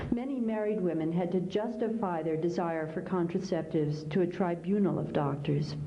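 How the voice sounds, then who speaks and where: A woman with an American accent and fairly low pitch, amid noticeable background noise and audible room echo. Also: ordinary pitch variation, moderate pace. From US Midwest, Kansas. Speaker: author. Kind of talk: keynote speech.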